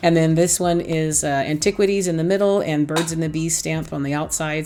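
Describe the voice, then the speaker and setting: With music playing behind her, a woman with an American accent and a very deep, low pitch speaks at a fairly quick pace in an animated tone. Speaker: craft YouTuber. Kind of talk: casual tutorial. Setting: home craft room.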